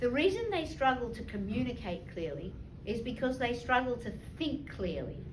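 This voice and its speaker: In a room with audible echo, a woman speaks at a high pitch and a moderate pace, her pitch swinging very widely. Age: 60s. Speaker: leadership trainer, former lawyer and banker. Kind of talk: talk to an audience with questions.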